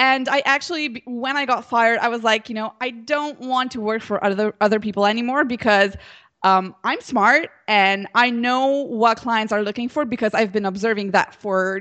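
Speaking with a Slovenian accent, a woman uses a fairly high pitch at a moderate pace. The background is quiet. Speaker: social media entrepreneur. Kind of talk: interview. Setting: Skype call.

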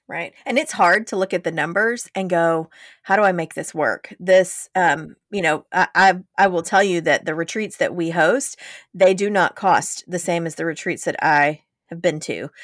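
The woman here has a normal speaking voice with a fairly low pitch and ordinary pitch variation. She keeps a moderate pace, and the sound is dry and close with no echo. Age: 40s. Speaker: podcast co-host, business coach. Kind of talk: casual chat.

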